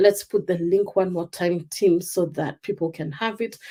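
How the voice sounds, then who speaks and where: A woman with a Kenyan accent has a dark, mellow tone. Her intonation stays fairly even. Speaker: life coach. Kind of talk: live stream talk. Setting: live stream.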